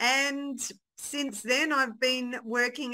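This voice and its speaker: A woman with an Australian accent speaks in a bright, sharp tone. The recording is very clean, with a silent background. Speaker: event organiser. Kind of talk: radio interview.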